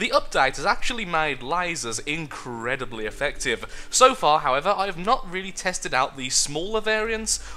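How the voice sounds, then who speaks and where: A man with a high pitch speaks in a British accent at a moderate pace. His pitch swings very widely, with hardly any pauses. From United Kingdom. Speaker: gamer. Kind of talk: casual gameplay commentary. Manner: stammering.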